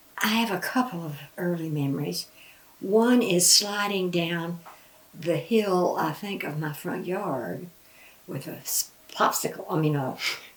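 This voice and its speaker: Against noticeable background noise, a woman talks at a fairly slow pace in a fairly low pitch with ordinary pitch variation. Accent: Southern Appalachian. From western North Carolina and East Tennessee. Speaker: grandmother interviewee. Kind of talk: oral history interview.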